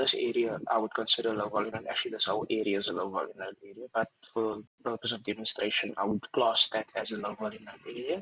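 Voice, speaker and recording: A soft-spoken man of medium pitch talks at a fairly quick pace. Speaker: trader. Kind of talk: screen-share tutorial. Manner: hesitant, many fillers.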